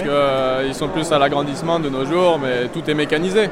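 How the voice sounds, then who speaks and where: Fairly quick speech from a man with a fairly high pitch and ordinary pitch variation, over noticeable background noise. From southern Burgundy, France. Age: 20s. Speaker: winemaker. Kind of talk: casual interview. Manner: hesitant, many fillers.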